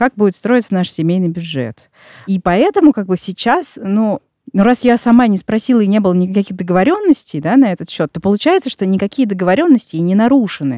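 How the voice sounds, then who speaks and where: A woman talks at a very fast pace in a dark, mellow tone at medium pitch. Her intonation is lively, and the sound is dry and close with no echo. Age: 30s. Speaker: podcast host. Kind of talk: scripted narration. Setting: studio.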